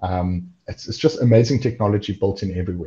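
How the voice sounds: A man's fairly quick speech, dark and mellow in tone with a slightly husky edge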